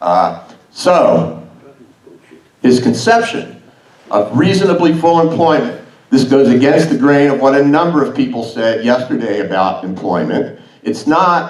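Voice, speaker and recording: A loud man's fairly high-pitched voice with very wide pitch swings, a fairly slow pace and long, frequent pauses, in audible room echo. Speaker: academic conference speaker. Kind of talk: conference talk.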